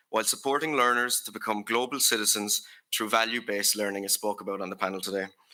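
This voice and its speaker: Talking at a very fast pace, a man with a Limerick accent has a bright, sharp tone, medium pitch and fairly even intonation. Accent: Irish (Limerick). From Ireland, Limerick. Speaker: youth delegate. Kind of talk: prepared conference speech. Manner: formal.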